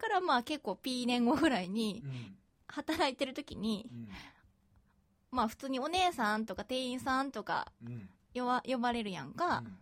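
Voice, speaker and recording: Her intonation is lively and her pitch high. The woman speaks at a fairly slow pace. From Osaka, Japan. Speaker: podcast co-host. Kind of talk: casual chat.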